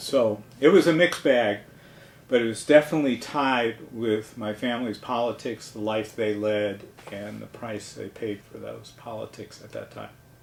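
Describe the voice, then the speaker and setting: Over noticeable background noise, a man talks at a moderate pace and medium pitch, with ordinary pitch variation and big swings in loudness. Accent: American. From New York City, Manhattan. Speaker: retired archivist. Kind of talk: oral history interview.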